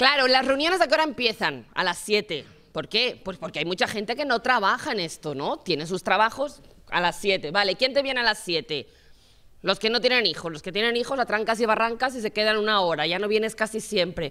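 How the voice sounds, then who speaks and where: With a bright, sharp tone, a woman speaks at a fairly quick pace. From Barcelona area; Spain. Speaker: municipal platform organizer; panelist. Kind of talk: panel talk. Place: classroom. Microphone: handheld.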